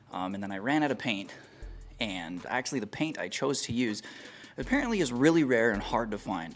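Over faint background music, a man talks at a fairly quick pace. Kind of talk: casual vlog chat. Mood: lighthearted, joking. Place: garage.

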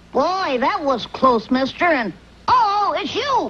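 A cartoonish character voice, high-pitched and fairly slow, with very wide pitch swings.

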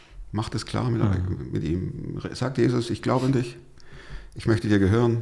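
Male voice with lively intonation and vocal fry against a quiet background. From Stuttgart, Swabia; Swabia, Germany. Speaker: podcast host, pastor and former radio presenter; podcast host, pastor, radio presenter. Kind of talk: interview, telling his life story. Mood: lively storytelling, fervent appeal. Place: studio. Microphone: studio mic.

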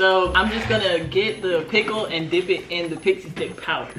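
A woman talks while music plays clearly behind her. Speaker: food vlogger. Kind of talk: casual vlog chat. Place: home room. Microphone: camera far.

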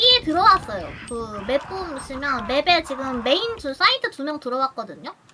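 The voice is raised and projected, with very wide pitch swings and big swings in loudness. It moves at a moderate pace with hardly any pauses, over noticeable background noise. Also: woman, high pitch for a woman. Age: 20s. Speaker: streamer and game teacher; streamer, game teacher. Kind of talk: casual game coaching chat. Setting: voice call over Discord. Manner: animated.

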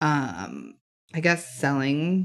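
A woman speaks softly with a very deep, low pitch. Her pitch varies in an ordinary way. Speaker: crossword livestreamer. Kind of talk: casual chat. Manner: soft-spoken.

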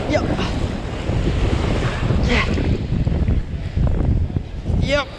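A man speaks with vocal fry. Background noise is clearly audible.

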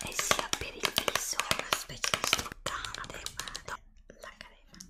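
A woman whispers at a fairly slow pace. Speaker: ASMR creator. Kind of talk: ASMR whispered product show-and-tell. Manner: whispered.

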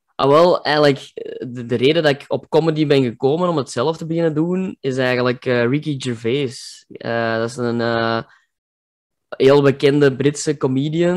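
A man with a Kempen accent speaks at a moderate pace with ordinary pitch variation. The background is quiet. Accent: Kempen Flemish dialect. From Kempen, Belgium. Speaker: comedian. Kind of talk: interview answer. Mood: cheerful, relaxed, smiling. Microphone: video call.

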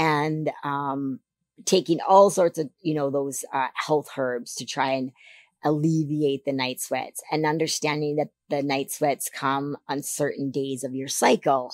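A woman speaks with a Canadian accent at a very deep, low pitch and a fairly slow pace. Her intonation is fairly even, and the sound is dry with no echo. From Canada. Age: 50s. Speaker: figure competitor. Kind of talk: interview. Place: studio. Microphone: studio mic.

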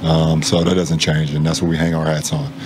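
A man speaks at a fairly quick pace with a very deep, low voice over noticeable background noise. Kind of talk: interview answer. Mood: calm, measured after a loss. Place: hall. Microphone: handheld.

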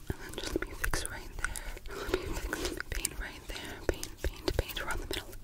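A woman whispers at a moderate pace. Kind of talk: soft-spoken roleplay, ASMR style. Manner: soft close-up ASMR murmur. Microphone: phone near.

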